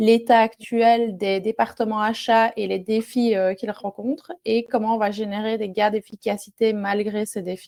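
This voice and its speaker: With a strong Belgian accent, a woman speaks at a fairly slow pace in a dark, mellow tone and fairly even intonation. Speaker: software product manager. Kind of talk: webinar presentation. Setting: online webinar. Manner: hesitant, many fillers.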